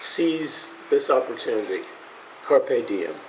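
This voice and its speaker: Very slowly, a man speaks while noticeable background noise fills the recording. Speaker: speaker at commemorative ceremony. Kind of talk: ceremonial speech. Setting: outdoors with audience. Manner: halting, frequent repetitions.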